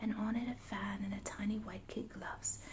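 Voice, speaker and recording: A quiet voice with a soothing tone. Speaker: ASMR storyteller. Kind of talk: bedtime story reading. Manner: quiet, soothing.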